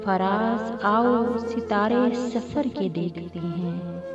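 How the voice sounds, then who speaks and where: A woman's fairly high voice over music in the background. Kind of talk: poetry reading.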